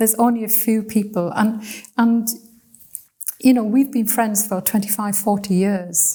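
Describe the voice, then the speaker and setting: This woman's voice sits fairly high in pitch, with a dark, mellow tone, some breathiness, fairly even intonation, and long, frequent pauses. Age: 70s. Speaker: missionary and bible college lecturer. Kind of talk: conversational interview. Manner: hesitant, with repeated words.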